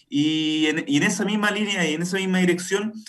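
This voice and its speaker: A high-pitched male voice with ordinary pitch variation, amid noticeable background noise and audible room echo. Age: 30s. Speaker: political candidate. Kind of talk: radio interview.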